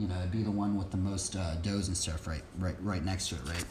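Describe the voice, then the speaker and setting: Man talking at a fairly quick pace, with audible room echo. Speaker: livestreamer leading Bible study and BMX practice. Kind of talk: casual livestream chat. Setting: live stream. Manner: fast; halting, many fillers.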